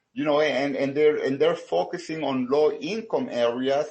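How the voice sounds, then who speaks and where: In a Salvadoran accent, a man talks at a fairly slow pace with a fairly high pitch. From El Salvador. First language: Spanish. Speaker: small business owner. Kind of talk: research interview. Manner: halting, many fillers and repetitions.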